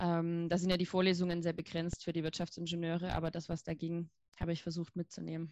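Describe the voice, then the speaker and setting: Speaking at a very fast pace, a woman with a fairly low pitch keeps a monotone, flat intonation. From Saxony, Germany. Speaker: engineer at a tech startup. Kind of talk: casual interview.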